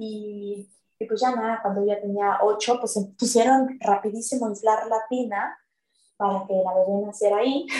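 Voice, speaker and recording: Her voice has a dark, mellow tone, fairly high pitch and fairly even intonation as this woman speaks. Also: moderate pace. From Mexico City. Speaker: yoga teacher sharing birth stories. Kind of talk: personal testimony in interview.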